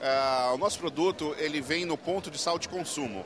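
Against music in the background, a man talks with ordinary pitch variation in a dry sound with no echo. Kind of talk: interview answer. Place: hall. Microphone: handheld.

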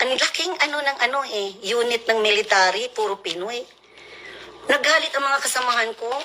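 A woman with a high voice speaks at a moderate pace with ordinary pitch variation over noticeable background noise. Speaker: military spouse. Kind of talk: angry rant. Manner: animated.

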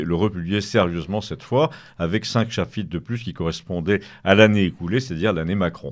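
With a very deep, low pitch and lively intonation, a man talks at a fairly quick pace. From Paris, France. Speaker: writer. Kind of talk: radio interview.

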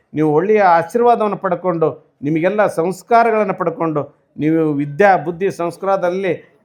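This man's voice sits high in pitch, and its pitch varies in an ordinary way. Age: 50s. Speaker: religious leader. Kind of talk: sermon.

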